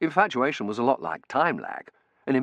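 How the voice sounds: The delivery is a natural reading voice with lively intonation. The background is quiet.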